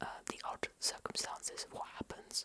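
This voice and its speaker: Someone whispers at a moderate pace. Noticeable background noise runs beneath the voice. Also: woman. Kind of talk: ASMR book show-and-tell. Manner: whispered.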